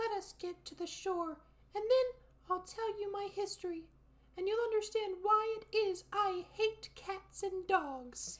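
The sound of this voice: Fairly slow delivery in a put-on character voice, pitched extremely high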